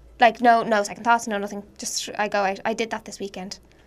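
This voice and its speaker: Speaking in an Irish accent at a fairly quick pace, a woman with fairly high pitch keeps a monotone, flat intonation. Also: big swings in loudness. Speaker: podcast co-host. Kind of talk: casual chat. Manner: joking, laughs often.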